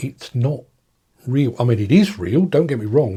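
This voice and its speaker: In an English accent, a man speaks at a fairly quick pace with a dark, mellow tone and somewhat breathy delivery, on a very clean recording with a silent background. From England. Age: 60s. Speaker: journalist and political commentator. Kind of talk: video monologue. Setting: home streaming setup. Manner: halting, with frequent repetitions.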